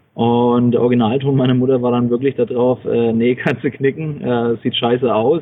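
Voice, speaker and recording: Pitch stays in the medium range for this male speaker. The intonation comes across monotone and flat. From Franconia, Bavaria (Bamberg). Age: 30s. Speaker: inventor and small manufacturer. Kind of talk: interview.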